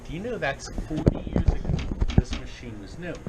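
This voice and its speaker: Noticeable background noise sits behind a man's voice. He speaks at a moderate pace with lively intonation. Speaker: arcade business owner, TV infomercial personality.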